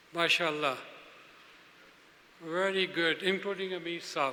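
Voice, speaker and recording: Noticeable background noise and audible room echo fill the recording. A man speaks in a raised, projected voice. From Pakistan. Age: 70s. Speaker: speaker at a religious convention. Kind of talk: speech to an audience. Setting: stage with audience.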